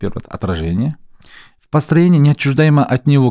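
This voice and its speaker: A man speaks at a fairly quick pace, his tone dark and mellow, with very wide pitch swings. The sound is dry with no echo, over a quiet background. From Kazakhstan. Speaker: podcast host. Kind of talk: casual interview. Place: studio. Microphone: studio mic.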